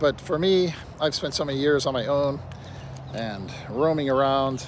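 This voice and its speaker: A man at a moderate pace, with ordinary pitch variation and audible room echo. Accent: American. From Pennsylvania, US. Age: 60s. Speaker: vlogger. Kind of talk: casual monologue. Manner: rambling, halting.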